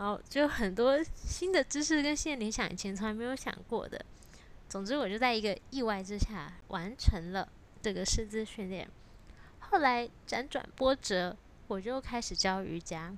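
She has a plain, everyday voice, fairly high for a woman. The pace is moderate and the intonation lively. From Taiwan. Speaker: yoga teacher and podcast host. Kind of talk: solo podcast monologue.

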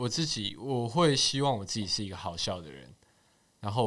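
Very fast and with lively intonation, a man speaks at a fairly low pitch. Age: 20s. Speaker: social media page admin. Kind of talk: casual chat.

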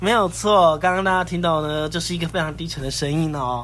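A man's fairly high-pitched voice amid noticeable background noise. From northern Taiwan, Sanchong. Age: 30s. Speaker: podcast host. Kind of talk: casual chat.

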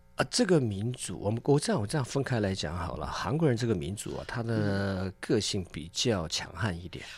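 A man with an unremarkable speaking voice, fairly low in pitch, with lively intonation, a moderate pace and hardly any pauses, on a very clean recording with a silent background. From South Korea (ethnic Chinese community). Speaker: chef and restaurant owner. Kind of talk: casual radio interview.

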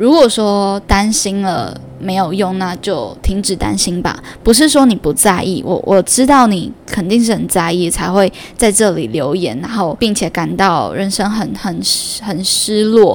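There is lively intonation in a woman's medium-pitched voice. She speaks at a fairly slow pace over noticeable background noise. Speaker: podcast host. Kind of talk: solo podcast monologue. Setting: home room recording.

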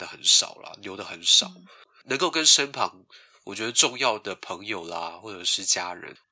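His tone is bright and sharp. The man speaks at a moderate pace against a quiet background. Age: 20s. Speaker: office worker, podcast guest. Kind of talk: casual chat. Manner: animated, laughing.

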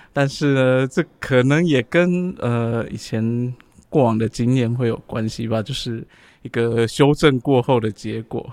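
A man talks at a fairly slow pace at medium pitch with ordinary pitch variation, in an unremarkable speaking voice. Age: 40s. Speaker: podcast co-host. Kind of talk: casual chat.

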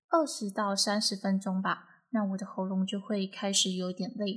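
A woman's somewhat breathy voice at a fairly slow pace, on a very clean recording with a silent background. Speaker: podcast host. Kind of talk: solo podcast monologue. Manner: projecting breath forward, trying new technique.

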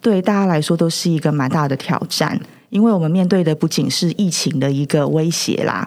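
Noticeable background noise behind a fairly quick pace. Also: woman. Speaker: counseling psychologist. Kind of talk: casual interview chat.

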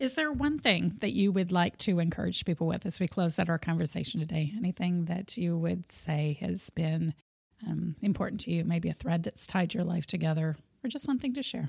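Somewhat breathy woman's voice, fairly low in pitch, at a fairly quick pace. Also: lively intonation. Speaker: podcast host. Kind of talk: interview.

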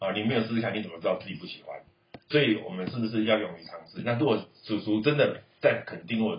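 A man rushes along at a very fast pace, his loudness swinging widely. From Taiwan. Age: 40s. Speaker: uncle of the child host. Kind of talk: casual chat with a child.

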